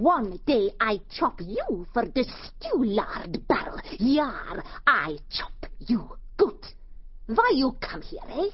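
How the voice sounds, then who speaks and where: A growling voice moves very slowly through very wide pitch swings against light background noise. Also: woman, high pitch for a woman. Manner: snarling, broken grammar, hot-tempered.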